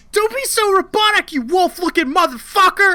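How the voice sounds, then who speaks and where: A woman puts on a character voice pitched extremely high and delivers it at a moderate speed. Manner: shouting, yelling.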